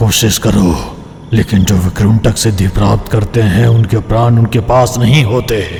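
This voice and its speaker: Over clear background noise, a man does a put-on character voice at medium pitch, speaking at a fairly slow pace with very even loudness. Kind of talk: mythic horror drama. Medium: audio drama. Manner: solemn, measured, ominous.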